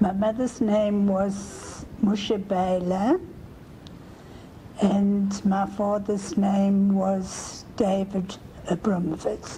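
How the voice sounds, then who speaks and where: The voice is monotone and flat, very slow, with very even loudness. Noticeable background noise and audible room echo fill the recording. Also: woman, medium pitch for a woman. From South Africa, Germiston near Johannesburg. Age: 80s+. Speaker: family history interviewee. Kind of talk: oral history interview.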